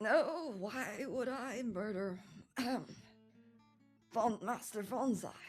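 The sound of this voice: In a put-on character voice, a woman speaks very slowly at a fairly high pitch, squeaky and raspy, with ordinary pitch variation and faint music in the background.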